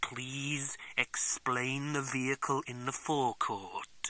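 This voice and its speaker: At a very slow pace, a man puts on a character voice with a medium pitch. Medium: read story. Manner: formal, polite.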